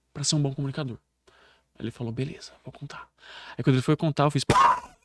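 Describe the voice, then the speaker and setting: In a dry, close recording with no echo, a man with a fairly high pitch speaks in an animated tone. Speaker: public speaking coach. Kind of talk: podcast interview.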